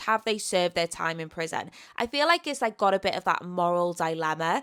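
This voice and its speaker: A woman with a Welsh accent speaks at a moderate pace in a bright, sharp tone, her fairly low voice carrying lively intonation over a very clean recording with a silent background. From Wales. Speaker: book youtuber. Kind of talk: casual book review talk. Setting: seated at home recording with microphone. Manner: animated.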